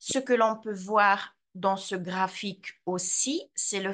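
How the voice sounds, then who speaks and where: Her voice sits at a medium pitch, with a Swiss accent. The woman is heard over a quiet background. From Switzerland, Graubünden (Surselva, Vrin); Graubünden, Switzerland. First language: Romansh (speaking French). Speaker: translator and language teacher; language teacher. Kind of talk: lecture. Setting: video call. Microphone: video call.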